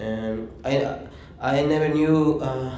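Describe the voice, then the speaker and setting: Recorded with audible room echo and noticeable background noise, a man talks at a medium pitch. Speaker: former undocumented minor, shelter resident. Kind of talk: testimony. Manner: halting.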